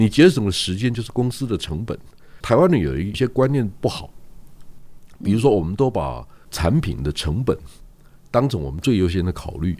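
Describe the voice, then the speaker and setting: Speaking at a moderate pace with long, frequent pauses, a man with a fairly low pitch and a dark, mellow tone shows vocal fry and very wide pitch swings. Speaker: newspaper publisher. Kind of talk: casual chat.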